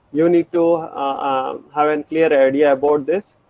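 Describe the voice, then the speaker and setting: The man's pitch sits fairly high. He speaks in a monotone with flat intonation. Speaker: programming lecturer. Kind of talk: lecture. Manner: halting; fast.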